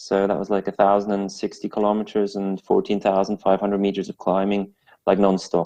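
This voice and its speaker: A man's fairly low, dark, mellow voice in a Swiss French accent, fairly quick and monotone with flat intonation, dry and close with no echo against a quiet background. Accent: Swiss French-tinged English. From Switzerland, French-speaking part, English mother. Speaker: amateur and esports cyclist. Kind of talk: interview. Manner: halting, many repeats and fillers.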